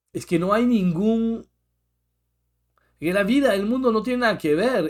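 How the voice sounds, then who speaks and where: With a French accent, a man speaks in a high pitch. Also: very clean recording, silent background. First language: French (speaking Spanish). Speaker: therapist, podcast co-host. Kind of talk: casual chat.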